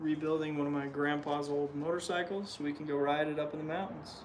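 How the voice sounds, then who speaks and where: A man with an American accent talks at a fairly quick pace in a fairly high pitch with fairly even intonation. Audible room echo and noticeable background noise surround his voice. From Utah. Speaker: livestreamer restoring a motorcycle. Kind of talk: casual livestream chat while working.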